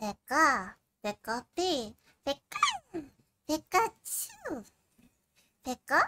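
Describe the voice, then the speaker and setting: The put-on character voice moves at a very slow pace, broken by long, frequent pauses. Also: female-sounding voice, high pitch for a woman. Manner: cute, chirpy.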